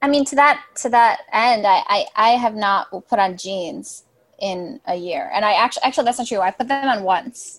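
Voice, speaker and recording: A woman with an American accent has a plain, everyday voice, fairly high pitch, lively intonation, and a moderate pace. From Chicago suburbs. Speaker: writer. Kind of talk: casual chat.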